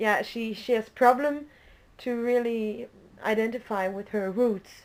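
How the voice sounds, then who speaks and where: On a very clean recording with a silent background, a woman with a German accent speaks at a fairly slow pace and a fairly high pitch, with fairly even intonation. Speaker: student interviewer. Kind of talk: interview.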